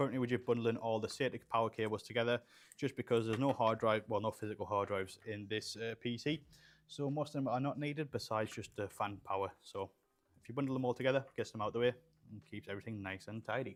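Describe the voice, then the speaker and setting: The recording is very clean, with a silent background. The speech comes at a very fast pace. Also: man, medium pitch for a man, fairly even intonation. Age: 20s. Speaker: PC builder streaming live. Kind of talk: live stream Q&A while building. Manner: casual, halting with repetitions.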